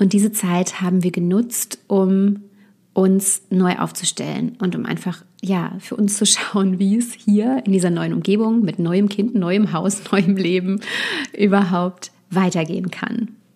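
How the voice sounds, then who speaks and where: At a very slow pace, a woman speaks at medium pitch with a somewhat breathy, dark, mellow tone and fairly even intonation. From Westerwald, Germany. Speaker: copywriter and podcast host. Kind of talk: solo podcast monologue. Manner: frequent filler sounds (äh, ähm).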